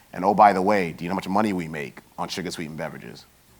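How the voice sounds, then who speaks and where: A man with a New York accent talks very fast in a very deep, low pitch. His intonation stays fairly even. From New York, Queens. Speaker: health industry consultant and bioethicist. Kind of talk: conference talk.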